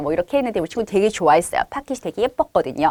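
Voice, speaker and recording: The pitch of a woman's voice swings very widely, recorded dry and close with no echo. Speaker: chemistry test-prep teacher. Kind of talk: online course info session. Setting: online video session with screen share. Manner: fast.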